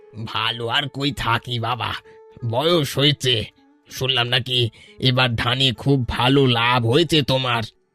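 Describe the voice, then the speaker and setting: A man's cartoonish character voice, medium-pitched and monotone with flat intonation, at a fairly slow pace over faint background music. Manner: gentle, fatherly.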